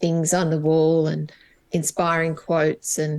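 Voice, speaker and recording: The speaker uses monotone, flat intonation with an Australian accent. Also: woman. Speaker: HR business coach. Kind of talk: podcast interview.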